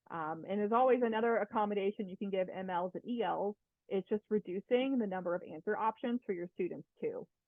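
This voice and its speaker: With ordinary pitch variation, the voice moves along at a fairly quick pace. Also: woman, medium pitch for a woman. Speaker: instructional technology coach. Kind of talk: webinar presentation. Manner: fast.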